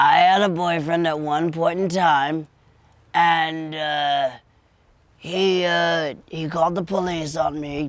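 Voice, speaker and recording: A put-on character voice comes through with monotone, flat intonation. The pace is fairly slow. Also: man, fairly high pitch for a man. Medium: audio drama. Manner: rambling, colloquial.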